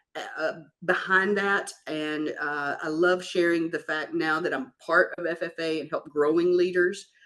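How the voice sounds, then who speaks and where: With a Kentucky accent, a woman speaks in a fairly low pitch at a fairly slow pace, her intonation monotone and flat. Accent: Kentucky Southern. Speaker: farm equipment business executive. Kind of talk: interview.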